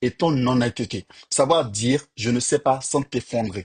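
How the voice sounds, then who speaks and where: The dry, close sound with no echo carries a man's somewhat breathy voice at medium pitch. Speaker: software engineer and career coach YouTuber. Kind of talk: tutorial-style advice talk to camera. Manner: casual with fillers, hesitations.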